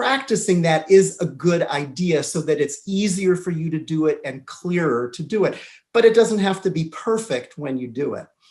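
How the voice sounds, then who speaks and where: Here a man talks at a moderate pace. He speaks in a Southern California accent. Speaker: English teacher. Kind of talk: interview.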